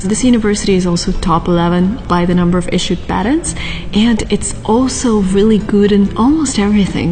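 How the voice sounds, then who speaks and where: A woman whispers at a fairly quick pace, with music in the background and audible room echo. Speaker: vlogger. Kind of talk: vlog. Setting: library then outdoors on campus. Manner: whispering.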